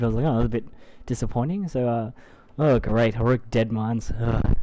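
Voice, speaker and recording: Someone speaks at a very fast pace in an Australian accent. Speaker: gaming video creator. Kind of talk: live gameplay tutorial. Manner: casual, hesitant with many fillers.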